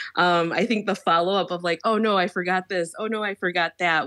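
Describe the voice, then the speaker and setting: A woman with an American accent, medium pitch, moderate pace and an ordinary speaking voice. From Chicago. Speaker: teacher. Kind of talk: interview conversation.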